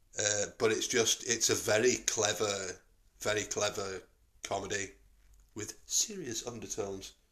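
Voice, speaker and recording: A man with a northern English accent speaks in a flat monotone. He takes long, frequent pauses. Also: fairly low pitch for a man, fairly slow pace. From northern England. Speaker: podcast host. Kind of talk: casual chat. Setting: in a pub.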